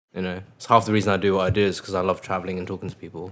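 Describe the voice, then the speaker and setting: A man with an English accent speaks at a very deep, low pitch. His intonation is monotone and flat, on a very clean recording with a silent background. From England (moved from Mongolia at six). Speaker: DJ and music producer. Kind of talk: casual interview chat.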